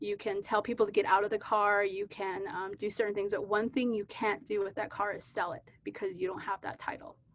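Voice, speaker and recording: Using an ordinary speaking voice with an American accent, a woman talks at a fairly high pitch and fairly quick pace with fairly even intonation. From US Southwest, Navajo Nation, New Mexico. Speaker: physician and keynote speaker. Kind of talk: conference lecture. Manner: conversational with frequent fillers.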